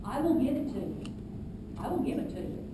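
Speaking at a fairly quick pace, a woman is heard with audible room echo and noticeable background noise. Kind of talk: public meeting Q&A answer. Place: hall. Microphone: camera far.

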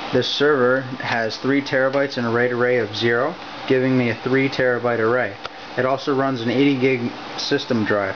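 At a moderate pace, a man speaks in a monotone, flat way against noticeable background noise. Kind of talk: show-and-tell tour. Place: home room. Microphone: phone near.

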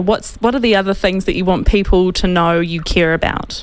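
With a New Zealand accent, a woman speaks in a dry sound with no echo. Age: 30s. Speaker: talk radio host. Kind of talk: interview. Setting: studio. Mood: concerned, serious. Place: studio. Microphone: studio mic.

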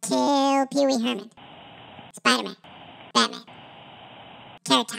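A squeaky, female-sounding put-on character voice runs at a moderate pace with a fairly high pitch. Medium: comedy sketch. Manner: jittery, overexcited.

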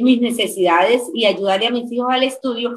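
In a Colombian accent, a woman speaks at a moderate pace with a high pitch and ordinary pitch variation, over light background noise. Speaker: teacher and distributor; teacher. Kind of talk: testimony. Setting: video call. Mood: warm, smiling, enthusiastic. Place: home room. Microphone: video call.

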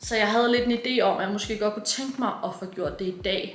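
Delivered at a moderate pace with fairly even intonation, the voice has audible room echo and light background noise. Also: woman. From Denmark. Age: 20s. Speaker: vlogger. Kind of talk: casual vlog talk. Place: home room. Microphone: phone near.

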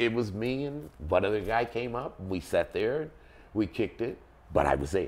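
This man's voice carries vocal fry. His intonation is lively. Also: moderate pace. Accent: American. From Texas. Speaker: percussion band leader. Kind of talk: interview answer. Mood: relaxed, storytelling. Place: home room.

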